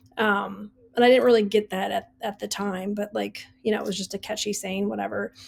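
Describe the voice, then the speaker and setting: Talking at a fairly quick pace, the woman has an American accent. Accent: Wisconsin accent, comes out at times. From US Midwest, Wisconsin. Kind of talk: casual podcast monologue. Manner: casual, many fillers.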